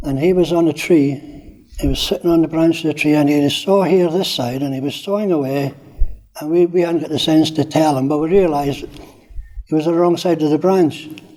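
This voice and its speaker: A man with a fairly high pitch keeps his intonation fairly even while noticeable background noise plays. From Scottish Highlands until age 10, then Corby, England. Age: 70s. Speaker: older resident telling life story. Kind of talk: personal reminiscence interview. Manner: hesitant, with many fillers.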